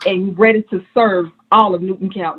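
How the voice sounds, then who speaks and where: A woman speaks at a moderate pace with a Georgia accent. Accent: US Southern (Georgia). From Atlanta, Georgia. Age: 50s. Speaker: political candidate, registered nurse. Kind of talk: campaign speech at candidate forum.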